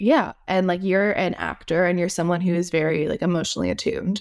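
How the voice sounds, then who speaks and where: At a moderate pace, a woman with a plain, everyday voice speaks at a medium pitch with ordinary pitch variation. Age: 20s. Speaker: podcast host. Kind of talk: casual interview.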